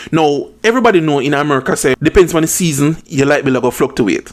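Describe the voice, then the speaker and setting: Lively in intonation, a man with a Jamaican accent speaks at a fairly quick pace with a fairly high pitch. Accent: Jamaican Patois-inflected English. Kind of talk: commentary talk to camera. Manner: blunt, opinionated.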